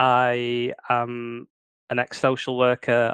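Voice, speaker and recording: A man with a northern English accent speaks at a medium pitch in a monotone, flat intonation. The sound is dry and close, with no echo. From northern England. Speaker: crime fiction author. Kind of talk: interview. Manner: hesitant, many fillers.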